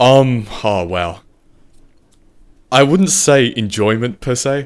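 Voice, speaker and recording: Captured in a very clean recording with a silent background, a man with an Australian accent speaks at a very slow pace and medium pitch, with lively intonation. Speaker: video editor. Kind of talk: casual chat.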